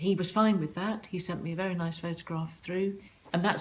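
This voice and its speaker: Monotone, flat intonation, a somewhat breathy quality and a fairly quick pace. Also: woman. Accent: southern English. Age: 60s. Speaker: online dater sharing her diary. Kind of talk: personal diary account.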